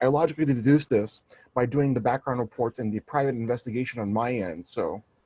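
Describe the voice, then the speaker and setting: Very fast and at a medium pitch, a man speaks in a dark, mellow tone with ordinary pitch variation. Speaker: interview guest, researcher. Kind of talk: interview. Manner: halting.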